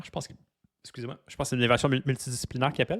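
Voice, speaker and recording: Medium in pitch, a man speaks in a Quebec accent with fairly even intonation. His voice is dry and close, with no echo. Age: 30s. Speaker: podcaster. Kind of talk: personal monologue. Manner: halting, many fillers and repetitions; unscripted, raw and direct.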